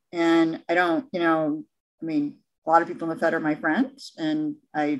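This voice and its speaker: A woman with a fairly low pitch speaks in a Midwestern American accent. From US Midwest, Detroit, Michigan. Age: 50s. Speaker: economist. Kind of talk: casual chat.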